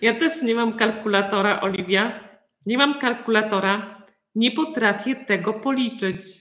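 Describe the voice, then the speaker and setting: A woman talks in a plain, everyday voice at a fairly high pitch. Her pace is moderate, with ordinary pitch variation. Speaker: Polish language teacher. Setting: video call.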